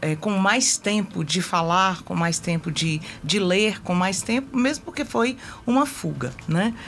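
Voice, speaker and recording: Speech from this woman comes at a very slow pace. The pitch is medium. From Brasília, Brazil. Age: 50s. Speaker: political candidate, retired health technician. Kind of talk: interview. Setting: radio studio.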